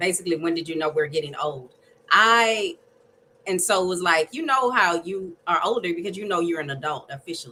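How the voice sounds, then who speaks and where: A woman talks at a fairly quick pace in an ordinary speaking voice, fairly low in pitch, with ordinary pitch variation. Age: 40s. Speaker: podcast co-host. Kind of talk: casual chat.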